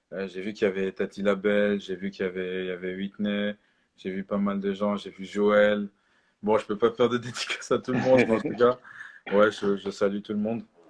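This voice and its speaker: A man's fairly low-pitched voice, fairly quick and delivered in a monotone, flat intonation. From Switzerland. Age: 20s. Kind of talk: sermon. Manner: halting, many fillers.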